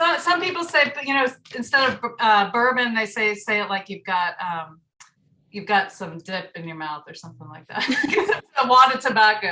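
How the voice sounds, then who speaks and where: Speaking at a moderate pace with an American accent, a woman uses a fairly high pitch with very wide pitch swings and big swings in loudness. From US South, Marietta, Georgia. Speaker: community radio station member. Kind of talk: casual chat.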